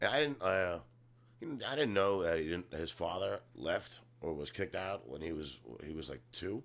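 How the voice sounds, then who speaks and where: A man with a very deep, low voice and vocal fry speaks at a moderate pace with very wide pitch swings. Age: 40s. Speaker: comedian and actor. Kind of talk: casual chat.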